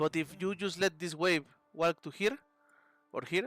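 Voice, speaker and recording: With music in the background, a man with a Spanish accent speaks at a moderate pace in a dry, close sound with no echo. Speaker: video game coach. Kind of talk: coaching session, game replay review. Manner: casual, frequent 'okay' and fillers.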